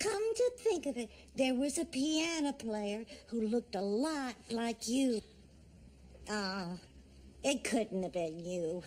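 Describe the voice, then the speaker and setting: Using a put-on character voice, a woman speaks at a fairly high pitch with lively intonation and a fairly slow pace. Long, frequent pauses break up her speech, and clear background noise runs behind it. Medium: short film. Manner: wandering, uncertain.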